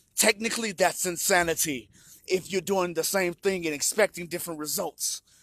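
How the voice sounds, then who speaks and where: Here a man speaks in a high voice with an animated tone. The recording is very clean with a silent background, dry and close with no echo. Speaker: vlogger sharing personal recovery story. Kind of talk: personal monologue.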